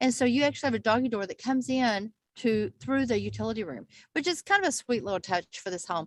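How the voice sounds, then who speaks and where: Her speech comes at a very fast pace, in a Texas accent. The woman's recording is dry and close, with no echo. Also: fairly high pitch for a woman, lively intonation. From Texas Panhandle. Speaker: real estate agent. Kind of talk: casual video chat. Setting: video call.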